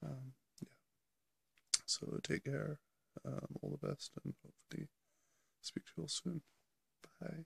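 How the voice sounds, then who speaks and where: A man speaks quietly at a fairly slow pace, with long, frequent pauses and big swings in loudness. The sound is dry and close, with no echo. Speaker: vlogger. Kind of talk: casual video diary. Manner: hesitant, many fillers; quiet, keeping voice down.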